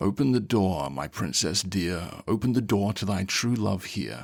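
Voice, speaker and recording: A man puts on a character voice at a fairly low pitch. The recording is very clean, with a silent background. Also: moderate pace. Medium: read story. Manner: soft-spoken.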